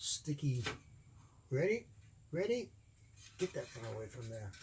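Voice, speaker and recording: Fairly high and somewhat breathy, a man's voice moves at a fairly slow pace. His pitch swings very widely. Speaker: electronics hobbyist. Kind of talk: tutorial.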